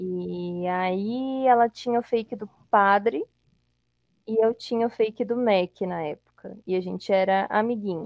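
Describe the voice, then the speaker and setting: A woman with a normal speaking voice, medium pitch and a fairly slow pace. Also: ordinary pitch variation. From Brazil, Espírito Santo (Colatina). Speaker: podcast guest. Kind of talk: casual chat.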